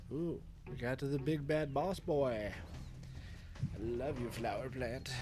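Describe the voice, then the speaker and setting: With a dark, mellow tone and ordinary pitch variation, the voice moves at a very slow pace with long, frequent pauses, and room echo is audible. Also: man. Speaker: video game streamer. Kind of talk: live gameplay commentary. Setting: home streaming room at night. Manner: quiet, lowered voice; casual, rambling with stammers.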